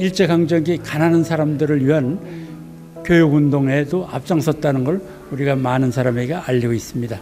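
Clear music plays in the background as a man speaks at a moderate pace. His pitch is fairly high, with ordinary variation. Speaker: literary museum guide. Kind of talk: interview answer. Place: hall. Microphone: handheld.

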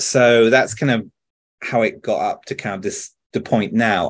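Here a man speaks with a British accent. His pace is moderate, and the background is quiet. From France. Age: 30s. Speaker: video game director. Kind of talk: interview answer. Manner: casual, chatty. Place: home room. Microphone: earbuds.

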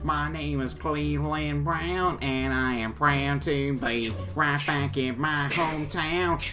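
A put-on character voice at a low-to-middle pitch, fairly slow with hardly any pauses, over loud background music. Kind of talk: character voice impression. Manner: slow, warm, cartoon-like.

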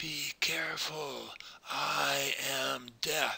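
A man whispers in a put-on character voice. The voice is raspy. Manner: warning, threatening.

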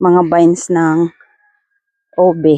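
Woman's medium-pitched voice, dry and close with no echo, over music in the background. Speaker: vlogger. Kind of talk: casual vlog talk. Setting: outdoors.

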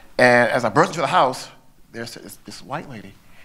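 A man with a Southern US accent and a bright, sharp tone. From US South. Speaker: artist's descendant. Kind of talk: panel discussion. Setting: stage with audience. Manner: halting. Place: hall. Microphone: handheld.

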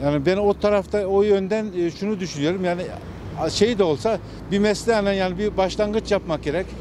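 Over noticeable background noise but with a dry sound and no echo, a high-pitched man talks at a fairly quick pace with fairly even intonation. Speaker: passerby interviewee. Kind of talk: street interview answer. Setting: outdoors. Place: street.

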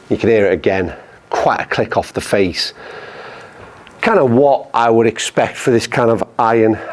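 There is noticeable background noise while a man speaks with ordinary pitch variation. He leaves long, frequent pauses. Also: medium pitch for a man, moderate pace, very even loudness. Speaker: golf YouTuber reviewing clubs. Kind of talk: product review. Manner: informal, conversational.

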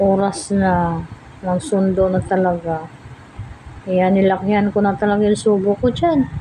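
Noticeable background noise sits behind a woman speaking. She goes at a fairly slow pace with ordinary pitch variation. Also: very even loudness. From Philippines. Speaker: food vlogger; home food vlogger. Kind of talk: casual vlog talk. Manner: halting. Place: home room. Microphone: phone near.

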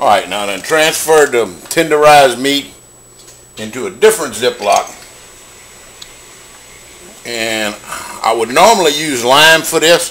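There is light background noise as a man talks with lively intonation. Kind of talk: casual cooking tutorial. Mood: jokey, playful. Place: kitchen. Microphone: phone near.

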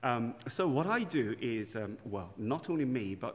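A man talks with lively intonation. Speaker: parish priest. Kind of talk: casual livestream chat. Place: church.

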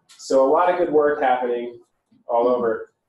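Fairly slow male speech with ordinary pitch variation and audible room echo. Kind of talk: public talk. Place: bar.

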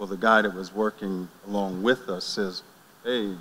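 A man with an American accent uses an ordinary speaking voice, fairly low in pitch, with fairly even intonation at a moderate pace. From northeast Ohio. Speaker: church deacon; panelist. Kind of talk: casual chat. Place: church. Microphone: handheld.

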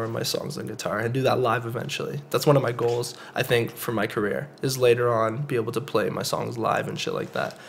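A man of medium pitch speaks fairly quickly with a Canadian accent and fairly even intonation, with noticeable background noise behind him. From Canada, Calgary. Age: 20s. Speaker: rapper. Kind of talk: casual chat.

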